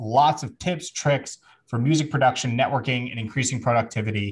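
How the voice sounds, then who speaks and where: Over a quiet background, a man talks at a fairly quick pace. His voice is somewhat breathy, with ordinary pitch variation. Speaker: podcast host. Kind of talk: casual podcast chat. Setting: studio. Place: home room. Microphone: studio mic.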